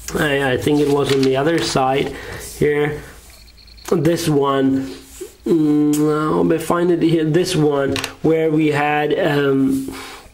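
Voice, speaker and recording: Amid noticeable background noise and audible room echo, a man with a fairly high voice speaks very slowly with long, frequent pauses, keeping his intonation fairly even and his loudness very even. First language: German. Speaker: math tutor. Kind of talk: tutorial. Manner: halting.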